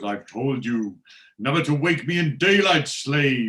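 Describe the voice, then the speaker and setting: At a fairly slow pace, the man performs a put-on character voice pitched fairly high. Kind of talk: old-fashioned, theatrical. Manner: haughty, irritated.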